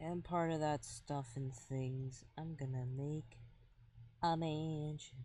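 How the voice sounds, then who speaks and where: Soft-spoken and somewhat breathy, a man talks at a very slow pace with a dark, mellow tone, fairly high pitch and fairly even intonation. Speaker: streamer. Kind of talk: casual gaming stream chat. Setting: live stream. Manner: quiet, soft-spoken.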